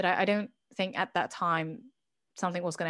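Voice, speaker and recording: Against a quiet background, a woman speaks at a fairly low pitch with a slight British accent. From Britain. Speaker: podcast guest, channel founder. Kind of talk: interview, personal testimony. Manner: halting, many fillers.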